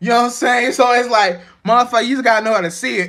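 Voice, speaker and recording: This man's voice is raised and projected, extremely high in pitch, with a bright, sharp tone and ordinary pitch variation. The recording is very clean, with a silent background. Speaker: spiritual vlogger. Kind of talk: casual monologue. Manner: stuttering, halting.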